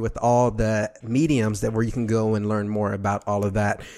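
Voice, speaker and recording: A man with an American accent, fairly quick and monotone, his intonation flat. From Texas, Dallas. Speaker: radio podcast host. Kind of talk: casual interview.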